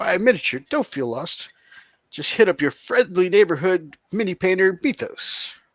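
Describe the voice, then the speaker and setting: A man's cartoonish character voice, high-pitched, at a moderate pace. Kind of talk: 1980s cartoon style. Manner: upbeat, heroic.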